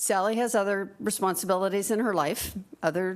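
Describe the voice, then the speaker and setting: A woman's voice with vocal fry at a moderate pace on a very clean recording with a silent background. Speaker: fiduciary training presenter. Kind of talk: training presentation.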